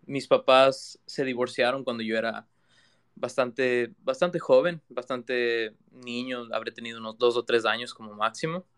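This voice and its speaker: A man with an ordinary speaking voice at a medium pitch is heard in a dry, close sound with no echo. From Ecuador, Quito. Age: 20s. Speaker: digital artist. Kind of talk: interview conversation. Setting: live audio room online.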